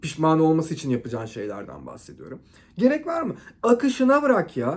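The speech moves at a fairly quick pace with an animated tone. Its pitch swings very widely. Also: man. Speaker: relationship advice vlogger. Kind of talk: monologue to camera. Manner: loud.

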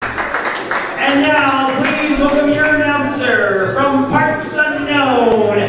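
A very slow pace amid audible room echo and loud background noise. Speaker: show announcer. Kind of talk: wrestling ring announcer introduction. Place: stage.

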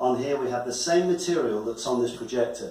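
Audible room echo surrounds the man as he talks. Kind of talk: presentation talk to a guest. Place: office. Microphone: camera far.

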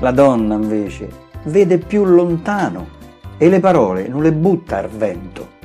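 With music in the background, a man in a Roman accent speaks at a medium pitch and fairly slow pace, playful in tone with very wide pitch swings. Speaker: poet. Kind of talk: poetry reading. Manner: playful, humorous.

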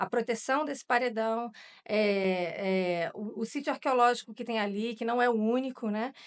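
Against a quiet background, a woman's voice moves at a moderate pace with ordinary pitch variation. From Rio de Janeiro, Brazil. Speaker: journalist. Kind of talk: interview. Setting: studio. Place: studio. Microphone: studio mic.

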